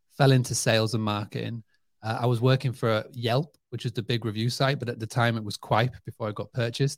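A man with a Yorkshire accent, medium pitch, a fairly quick pace, a somewhat breathy voice and flat, monotone delivery, in a dry, close recording with no echo. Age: 30s. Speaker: hospitality marketing entrepreneur. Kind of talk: interview.

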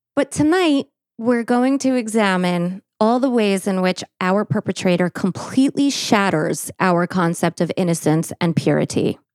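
An ordinary speaking voice with lively intonation at a fairly slow pace, in a dry, close sound with no echo. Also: woman. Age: 40s. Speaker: true crime podcast host. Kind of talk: case narration. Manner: formal.

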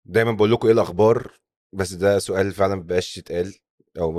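In a very clean recording with a silent background, a man with a very deep, low pitch talks very fast in a flat monotone. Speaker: podcast host. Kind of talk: scripted narration.

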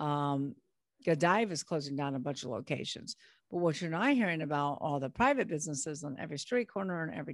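The setting behind her is quiet. This woman talks with an American accent. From California. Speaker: business broker and author. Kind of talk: interview.

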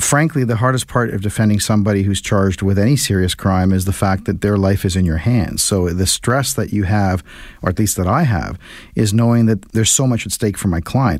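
A man with a plain, everyday voice speaks at a fairly low pitch with ordinary pitch variation and very even loudness. The recording is very clean with a silent background. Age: 50s. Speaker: criminal defense lawyer. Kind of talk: radio interview.

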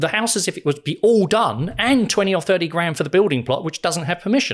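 Recorded very cleanly against a silent background, a man with a British accent speaks at a fairly quick pace. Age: 50s. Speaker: financial wellbeing speaker and former financial advisor. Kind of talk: casual interview.

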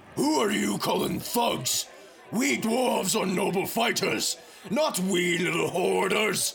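Over clear background noise, a man shouts in a high-pitched, put-on character voice at a fairly slow pace. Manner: aggressive, blustering.

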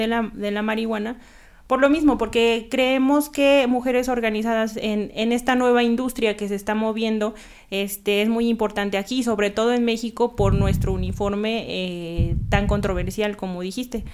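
In a very clean recording with a silent background, a woman with a normal speaking voice talks at a moderate pace and a fairly high pitch. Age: 30s. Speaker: nun and cannabis legalization activist. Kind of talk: casual interview chat.

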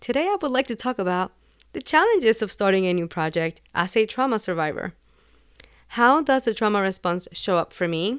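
In a very clean recording with a silent background, a woman with a Puerto Rican accent talks at a fairly quick pace, her fairly high pitch moving in very wide swings. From Puerto Rico. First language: Spanish. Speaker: podcaster and mental health advocate. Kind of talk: personal monologue podcast.

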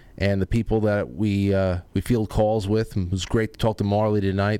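In a very clean recording with a silent background, a man with an American accent and a normal speaking voice talks at a moderate pace with fairly low pitch. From Colorado. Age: 30s. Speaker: talk show host. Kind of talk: casual chat.

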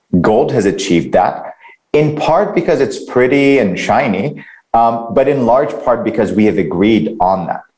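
Amid audible room echo, a man at a medium pitch speaks at a moderate pace, his pitch swinging very widely while his loudness stays very even. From Middle East. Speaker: crypto company founder. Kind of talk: interview. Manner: frequent fillers (um, uh).

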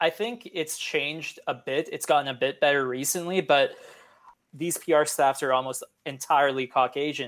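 In a western Canadian accent, a man speaks at a moderate pace in a fairly high pitch with ordinary pitch variation. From Canada, Edmonton. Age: 20s. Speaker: sports journalist. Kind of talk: interview.

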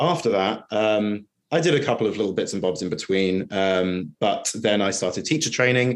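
A man with an East Anglian accent at fairly low pitch, moderate pace, lively intonation, very even loudness, and hardly any pauses. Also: quiet background. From England, Norwich. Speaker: freelance copywriter. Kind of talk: interview. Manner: hesitant, many fillers.

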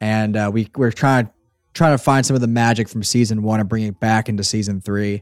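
With fairly even intonation and a fairly quick pace, a man in a normal speaking voice talks at a fairly low pitch, the sound dry and close with no echo on a very clean recording with a silent background. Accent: American. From southeastern Pennsylvania. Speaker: audio drama creator. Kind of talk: casual chat.

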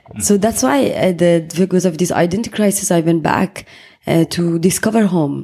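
A woman speaks with a Persian accent. Her pitch is fairly low. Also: ordinary pitch variation, moderate pace. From Iran, Tehran. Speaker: photographer. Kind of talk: interview.

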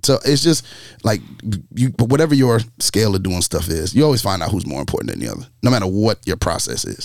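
Talking at a very fast pace, a man with a fairly low pitch uses very wide pitch swings and vocal fry. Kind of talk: casual discussion.

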